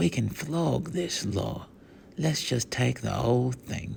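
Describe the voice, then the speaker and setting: Over clear background noise, a man uses a put-on character voice at medium pitch and a fairly slow pace. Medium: read story.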